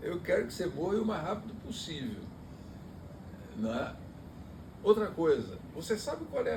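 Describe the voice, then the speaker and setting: Audible room echo colors a man's voice as he speaks at a moderate pace. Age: 70s. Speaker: pastor. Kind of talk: bible study discussion.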